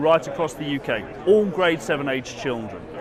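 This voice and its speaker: A man with an American accent speaks fairly quickly at a fairly high pitch, with ordinary pitch variation. There is noticeable background noise. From UK. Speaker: education executive. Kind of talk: product demo. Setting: trade expo floor.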